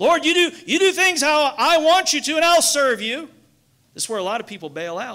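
The voice is raised and projected, with a bright, sharp tone and lively intonation at a fairly quick pace. Loudness swings widely against a quiet background. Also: man, extremely high pitch for a man. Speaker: pastor. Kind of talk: sermon. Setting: church. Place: church. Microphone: headset.

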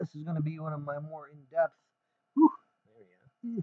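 A man speaks with a dark, mellow tone and ordinary pitch variation. The sound is dry, with no echo. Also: quiet background. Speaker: Bible teacher / YouTuber; Bible teacher, YouTuber. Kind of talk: casual Bible study vlog. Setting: wearing a face mask at first. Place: home room. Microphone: webcam.

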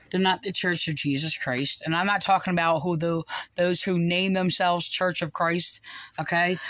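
Against a quiet background, a woman with an American accent speaks at a moderate pace in a dry sound with no echo. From New Jersey, US. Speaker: online religious commentator. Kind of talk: video commentary. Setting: home recording, replaying video clips. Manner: halting, many fillers. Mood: indignant, critical. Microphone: phone near.

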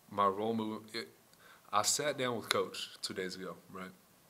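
A man speaks at a moderate pace. There is light background noise. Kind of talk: interview answer. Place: meeting room. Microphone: podium.

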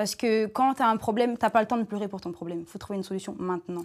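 Against a quiet background, a woman talks at a very fast pace with fairly even intonation. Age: 20s. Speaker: entrepreneur; guest. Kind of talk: panel discussion. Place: studio.

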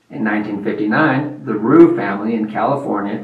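A man is talking. Audible room echo surrounds his voice. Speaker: farm channel host. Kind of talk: educational presentation.

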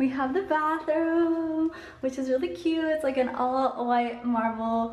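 A high-pitched woman's voice with audible room echo. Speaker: vlogger. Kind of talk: casual vlog chat. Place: empty room. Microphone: phone near.

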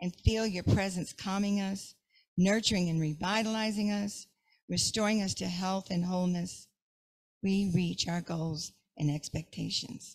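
A somewhat breathy woman's voice in a playful tone, at a fairly slow pace with ordinary pitch variation, against a quiet background. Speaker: prayer leader. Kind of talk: affirmative prayer, gently guided, fervent and devotional. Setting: church service. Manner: warm, slow and soothing, with a calm meditative cadence; briefly playful, laughs at herself mid-prayer. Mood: calm, reverent. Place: church. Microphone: handheld.

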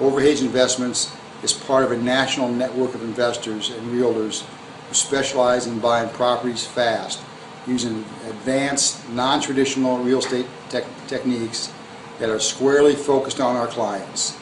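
A man at medium pitch and moderate pace, flat and monotone in intonation, over noticeable background noise. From US Midwest (Hammond, Indiana); Indiana. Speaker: real estate investor. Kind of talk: scripted promotional self-introduction. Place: home room. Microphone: phone near.

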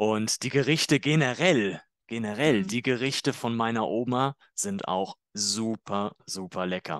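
At a fairly slow pace, a man with a medium pitch and lively intonation talks in an unremarkable speaking voice over a quiet background. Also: dry, close sound with no echo. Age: 30s. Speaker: German teacher. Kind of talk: tutorial; scripted language-learning dialogue.

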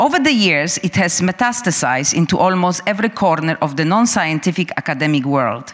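Pitch swings very widely as a woman speaks. She keeps a fairly quick pace against a quiet background. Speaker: curator and speaker on free expression. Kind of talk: prepared talk. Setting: stage with live audience. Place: hall. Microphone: handheld.

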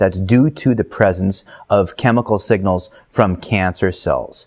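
A man is speaking over a quiet background. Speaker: guest. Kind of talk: interview answer. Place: home room. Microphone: video call.

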